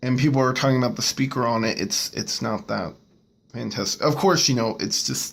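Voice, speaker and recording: With an American accent, a man speaks at a fairly quick pace in a medium pitch. His intonation is lively, and vocal fry comes through. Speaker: tech reviewer. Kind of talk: product review. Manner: stuttering.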